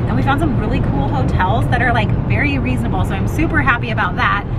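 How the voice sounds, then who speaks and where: A woman talks at a very fast pace. Loud background noise runs under her voice. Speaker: parent vlogger. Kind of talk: casual vlog chat. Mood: upbeat, chatty. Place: car. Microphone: phone near.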